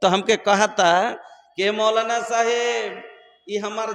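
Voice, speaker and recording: A man speaks at an extremely high pitch with monotone, flat intonation. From Bihar, India. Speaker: Islamic preacher. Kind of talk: religious sermon with humorous storytelling to a live audience. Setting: public gathering with PA system.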